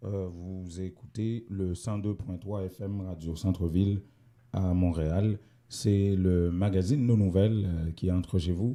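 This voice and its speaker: Very slow and very deep, a man's voice carries a dark, mellow tone with fairly even intonation. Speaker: community radio host. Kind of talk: radio magazine show. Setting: radio studio, also streamed live. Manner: hesitant, many fillers.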